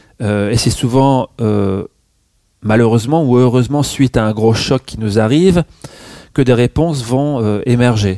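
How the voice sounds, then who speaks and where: At a medium pitch with ordinary variation and a dark, mellow tone, a man speaks at a fairly slow pace. Long, frequent pauses break up the dry, close sound, which has no echo. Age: 50s. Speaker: naturopath and meditation teacher. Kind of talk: interview, spiritual conversation. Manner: hesitant, many fillers.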